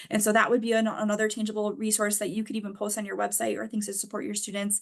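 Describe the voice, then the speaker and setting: A woman talks at a very fast pace in a fairly high pitch. Her intonation stays monotone and flat. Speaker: financial aid adviser. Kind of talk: webinar presentation.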